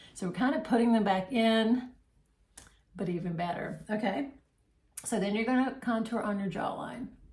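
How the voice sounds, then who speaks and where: A somewhat breathy woman's fairly high voice with ordinary pitch variation, a moderate pace, long, frequent pauses and audible room echo. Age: 60s. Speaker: makeup seller and tutorial host. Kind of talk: tutorial. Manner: casual, conversational with fillers.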